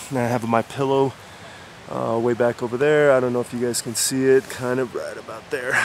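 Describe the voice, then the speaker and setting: Against noticeable background noise, a man speaks with monotone, flat intonation. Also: dry sound with no echo. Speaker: hiker vlogger. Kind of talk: casual vlog chat. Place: forest. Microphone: phone near.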